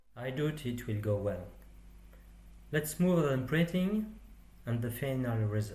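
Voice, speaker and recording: A man with a French accent speaks at a fairly slow pace with long, frequent pauses, his somewhat breathy, dark, mellow tone at a medium pitch carrying lively intonation amid audible room echo. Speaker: 3D printing hobbyist. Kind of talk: tutorial.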